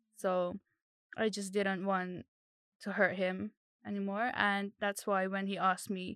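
A woman speaks at a fairly slow pace in a medium pitch with monotone, flat intonation, on a very clean recording with a silent background and a dry, close sound with no echo. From Philippines, then England from age 7 (Surrey). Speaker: architectural assistant. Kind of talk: casual interview chat.

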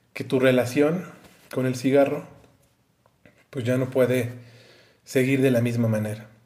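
A man with a Mexican accent speaks at a moderate pace and medium pitch. His tone is dark and mellow. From Mexico. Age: 30s. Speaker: YouTuber. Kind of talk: advice monologue to camera.

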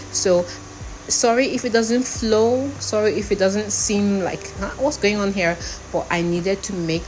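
A woman is speaking amid noticeable background noise. Room echo is audible as well. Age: 50s. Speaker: podcaster. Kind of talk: personal monologue. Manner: animated.

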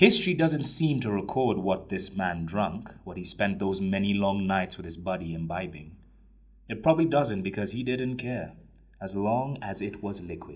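A man with an ordinary speaking voice and fairly low pitch talks at a moderate pace, with lively intonation and big swings in loudness. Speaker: narrator. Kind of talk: dramatic narration. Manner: wry, theatrical, building tension.

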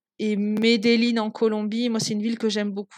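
Speaking at a fairly quick pace, a woman with fairly high pitch keeps a flat, monotone intonation in a dry, close sound with no echo. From Toulouse, southern France. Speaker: traveller and guesthouse owner. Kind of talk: interview storytelling. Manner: hesitant, many fillers.

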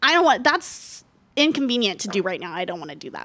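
A whiny, put-on character voice at a fairly high pitch. It races along very fast with very wide pitch swings. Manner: whiny, complaining.

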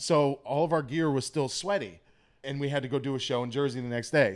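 A man speaks with a Boston accent at a fairly high pitch, with ordinary pitch variation. The recording is very clean, with a silent background. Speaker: comedian and former pro wrestler. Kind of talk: casual chat.

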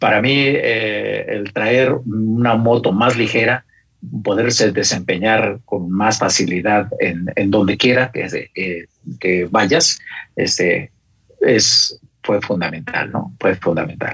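Very slow speech from a man, fairly low in pitch, with ordinary pitch variation. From Mexico City. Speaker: motorcyclist. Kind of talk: casual chat. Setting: phone call. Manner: halting.

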